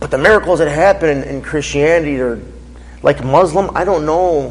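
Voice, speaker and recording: Talking fairly quickly with an American accent, a man is heard over noticeable background noise. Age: 30s. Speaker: faith speaker, former drug dealer. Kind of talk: Q&A after a testimony talk. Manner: casual, animated.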